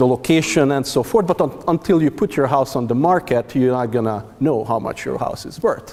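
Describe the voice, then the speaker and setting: Hardly pausing, a man talks at a fairly quick pace. His medium-pitched voice has lively intonation. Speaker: forestry researcher presenting at a workshop. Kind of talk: conference presentation. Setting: stage with audience. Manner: loud; halting, many fillers and restarts.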